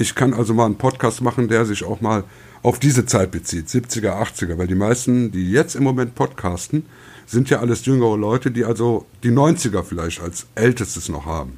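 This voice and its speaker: In a normal speaking voice, a man talks at a moderate pace with lively intonation, on a very clean recording with a silent background. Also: medium pitch for a man. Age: 50s. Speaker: podcast guest, newspaper deliverer. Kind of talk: casual chat.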